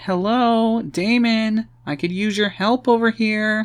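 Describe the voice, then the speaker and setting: Using a put-on character voice, a man speaks high in pitch at a fairly slow pace with fairly even intonation, recorded very cleanly over a silent background. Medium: read story.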